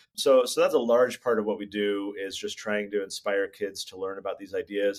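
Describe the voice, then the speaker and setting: Speaking with an American accent, a man talks at a fairly quick pace. His pitch is fairly low and his intonation fairly even. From California. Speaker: children's book author. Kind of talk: interview.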